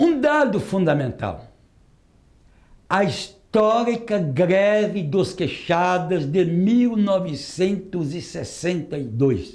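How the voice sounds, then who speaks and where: With a high pitch and lively intonation, a man talks at a very slow pace. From Northeast Brazil. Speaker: retired metalworker and union activist. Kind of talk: oral history testimony.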